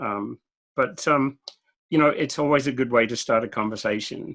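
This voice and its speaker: Using a medium pitch and a bright, sharp tone with vocal fry, a man speaks at a fairly quick pace. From Australia. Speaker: IT consultant and keynote speaker. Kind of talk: podcast interview.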